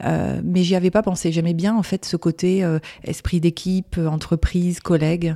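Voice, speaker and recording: A woman's fairly low, dark, mellow voice at a moderate pace, monotone and flat in intonation, very even in loudness, with a dry, close sound and no echo. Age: 40s. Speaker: graphic designer and business owner. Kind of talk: interview. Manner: hesitant, many fillers.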